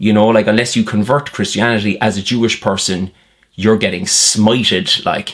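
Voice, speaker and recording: A man in an Irish accent, fairly low-pitched, with fairly even intonation and a moderate pace. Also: very even loudness. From Ireland. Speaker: political commentator. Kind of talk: satirical monologue. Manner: sarcastic, conversational.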